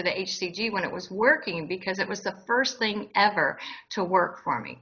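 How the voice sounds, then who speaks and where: At a moderate pace, a woman talks in a normal speaking voice with a medium pitch and ordinary pitch variation. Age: 60s. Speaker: interviewee sharing weight loss story. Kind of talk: interview.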